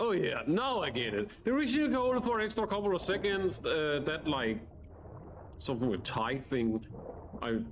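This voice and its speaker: A man with a non-native accent, very wide pitch swings and a moderate pace, amid audible room echo. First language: not English. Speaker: gaming streamer. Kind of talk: casual gameplay commentary. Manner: halting, frequent stutters and restarts; animated.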